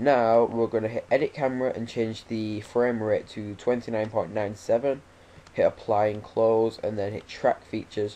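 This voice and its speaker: A man with a dark, mellow tone and medium pitch speaks at a moderate pace in a monotone, flat intonation. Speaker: video tutorial maker. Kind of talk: tutorial. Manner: casual with fillers.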